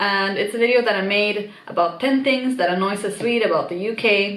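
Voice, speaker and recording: The speaker moves at a fairly quick pace with ordinary pitch variation, amid audible room echo and noticeable background noise. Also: woman. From Sweden. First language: Swedish. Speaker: YouTuber. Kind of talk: casual vlog. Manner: animated.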